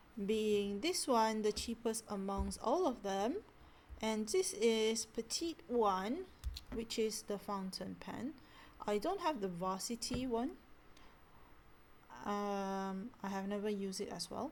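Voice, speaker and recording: A woman with a Malaysian accent speaks at a very slow pace, with long, frequent pauses. Her tone is relaxed and her intonation lively. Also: fairly high pitch for a woman. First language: not English. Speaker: stationery hobbyist vlogger. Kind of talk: casual product talk.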